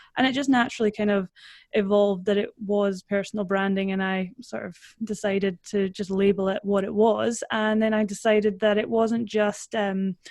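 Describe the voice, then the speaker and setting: In a dry, close sound with no echo, a woman speaks at a medium pitch. Her intonation is monotone and flat, and her pace is moderate. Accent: Scottish. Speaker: personal branding consultant. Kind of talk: interview.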